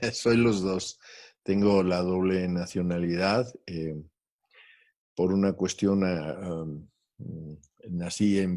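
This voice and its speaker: A man's very deep, low, dark and mellow voice with a Spanish accent, very slow pace, long and frequent pauses, and fairly even intonation, in a very clean recording with a silent background. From Mexico. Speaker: guest interviewee, doctor. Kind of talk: interview. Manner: halting with fillers.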